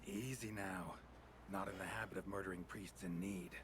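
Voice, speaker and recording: This man uses a put-on character voice at a fairly low pitch and a moderate pace. Loud noise fills the background. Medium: video game. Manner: terse, dry, low-key.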